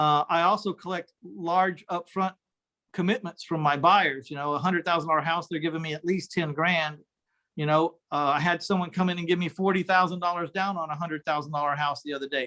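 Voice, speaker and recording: Speaking in a Texan accent with a bright, sharp tone, a man talks at a fairly quick pace and a high pitch, with fairly even intonation and a dry, close sound with no echo. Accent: Texan American. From Texas, San Antonio. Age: 60s. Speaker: real estate investor. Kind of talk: interview.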